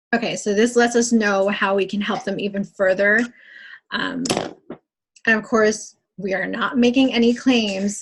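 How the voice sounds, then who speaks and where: A woman's somewhat breathy, fairly high voice with fairly even intonation and long, frequent pauses. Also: moderate pace. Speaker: fitness coach leading team training. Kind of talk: training call.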